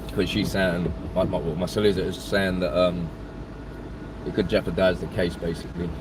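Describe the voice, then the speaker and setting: Over noticeable background noise and audible room echo, a man speaks in a very deep, low pitch with ordinary pitch variation. His pace is fairly quick, broken by long, frequent pauses. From East London. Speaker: YouTuber livestreaming drive. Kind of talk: casual livestream chat. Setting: in a car. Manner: halting, many fillers.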